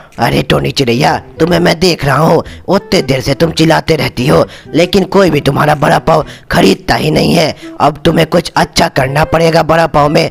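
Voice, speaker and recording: With clear music in the background, a man uses a cartoonish character voice at a fairly high pitch and a moderate pace. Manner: friendly, frank.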